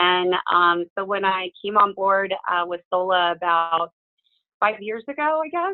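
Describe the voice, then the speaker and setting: With an American accent, a woman speaks fairly slowly at medium pitch with ordinary pitch variation, a normal speaking voice. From small-town US. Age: 40s. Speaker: hair stylist and salon industry educator. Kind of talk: casual interview chat.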